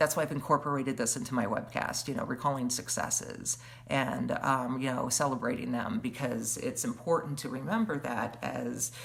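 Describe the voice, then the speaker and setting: A woman with a very deep, low pitch speaks at a moderate pace with hardly any pauses. Her intonation is fairly even, and noticeable background noise is present. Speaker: webcast host. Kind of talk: casual livestream monologue. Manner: halting, many fillers.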